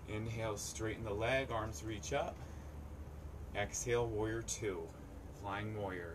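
A man speaks at a fairly slow pace. Noticeable background noise runs underneath. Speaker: yoga instructor. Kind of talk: live-streamed outdoor yoga class cueing poses breath by breath. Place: waterside.

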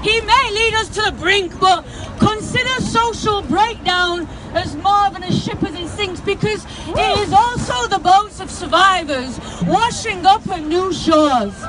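Crowd noise fills the background. A woman speaks at a fairly slow pace. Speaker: spoken word poet. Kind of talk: protest poem performed at a rally. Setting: outdoors at a protest march. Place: street. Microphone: handheld.

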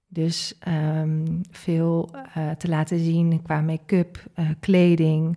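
Against a quiet background, a woman speaks with a dark, mellow tone at a fairly low pitch. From Netherlands, Groningen; Netherlands. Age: 30s. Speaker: leadership coach and entrepreneur; leadership coach. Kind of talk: interview conversation. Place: studio. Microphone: studio mic.

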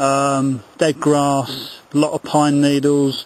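A man's voice, dry, with no echo. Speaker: hiker demonstrating a stove. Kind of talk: tutorial. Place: forest. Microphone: phone near.

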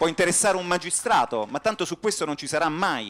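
A man speaks in an animated tone at a fairly quick pace. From Florence, Tuscany. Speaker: economics professor; panelist. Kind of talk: conference speech. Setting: stage with audience. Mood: ironic, polemical. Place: hall. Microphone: handheld.

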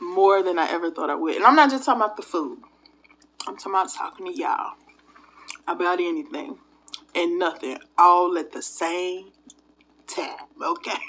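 With lively intonation and big swings in loudness, a woman speaks at a moderate pace, leaving long, frequent pauses. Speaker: food vlogger. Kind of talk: casual vlog chat. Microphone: phone near.

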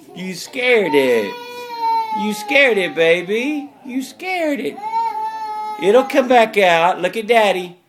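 The woman's speech moves very slowly. Behind it sits noticeable background noise. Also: long, frequent pauses, big swings in loudness. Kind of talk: parent talking to toddler. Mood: warm, playful, laughing. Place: home room. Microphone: phone near.

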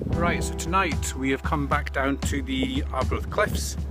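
A man is heard over loud music in the background. The sound is dry, with no echo. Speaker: outdoor vlogger. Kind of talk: casual vlog chat. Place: open country. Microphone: phone near.

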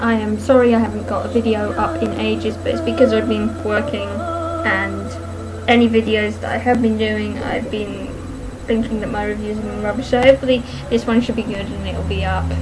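There is noticeable background noise. Over it, a woman talks at a fairly quick pace. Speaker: book reviewer. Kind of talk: casual book review to camera. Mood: chatty, self-deprecating. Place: home room. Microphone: webcam.

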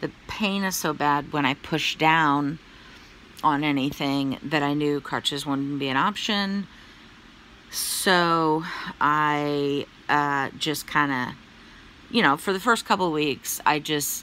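A woman speaks at a very slow pace with long, frequent pauses, her very deep, low pitch carrying ordinary variation and a bright, sharp tone, in a dry sound with no echo over light background noise. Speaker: vlogger giving health update. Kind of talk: casual vlog chat. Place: home room. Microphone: phone near.

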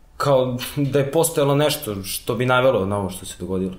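A man at a fairly quick pace, with audible room echo around him. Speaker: host character. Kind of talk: scripted drama dialogue. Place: home room.

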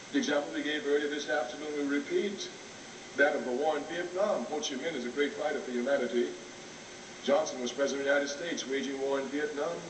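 Through noticeable background noise, a man speaks very fast with fairly even intonation. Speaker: speaker. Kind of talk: public lecture. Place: hall. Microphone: old recording.

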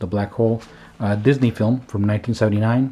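Fairly low male speech, pitch varying in an ordinary way. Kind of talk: casual show-and-tell commentary. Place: home room.

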